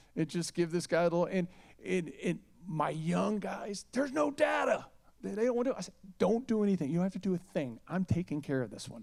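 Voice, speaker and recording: The tone is animated. The pace is fairly quick. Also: man. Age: 60s. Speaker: music booking agent. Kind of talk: fireside chat interview. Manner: animated storytelling.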